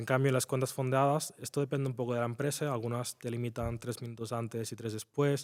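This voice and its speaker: Intonation here is monotone and flat. The pace is fairly quick. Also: man. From Spain, near Barcelona. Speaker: trader. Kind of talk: interview.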